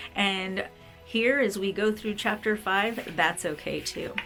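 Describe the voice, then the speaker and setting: With music playing behind her, a woman speaks fairly slowly at a fairly high pitch. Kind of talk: casual talk to camera. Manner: gentle, tender.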